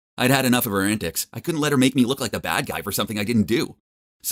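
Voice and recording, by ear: Someone is heard reading aloud in a natural voice, pitch varying in an ordinary way, with a quiet background behind.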